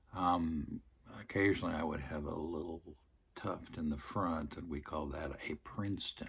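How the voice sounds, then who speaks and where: At a moderate pace, a man speaks with a very deep, low pitch, a somewhat breathy quality and fairly even intonation. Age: 70s. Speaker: retired priest. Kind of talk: casual monologue to camera. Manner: hesitant, many fillers.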